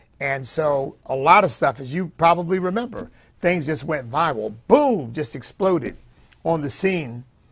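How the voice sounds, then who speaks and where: Somewhat breathy, a man talks at a fairly slow pace with lively intonation. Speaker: political commentator, pastor. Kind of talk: commentary. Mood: animated, laughs at times. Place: studio. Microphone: lapel.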